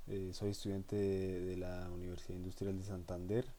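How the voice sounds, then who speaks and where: A man speaks in a very deep, low voice with a dark, mellow tone. His intonation stays fairly even, and the room echo is audible. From Colombia, Boyacá (Cucaita). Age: 20s. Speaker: university student teaching a course. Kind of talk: lecture. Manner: halting, many fillers.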